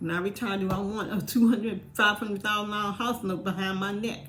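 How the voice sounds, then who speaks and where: A woman at medium pitch speaks at a fairly quick pace with fairly even intonation. Noticeable background noise and audible room echo surround her voice. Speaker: vlogger. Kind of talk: casual monologue.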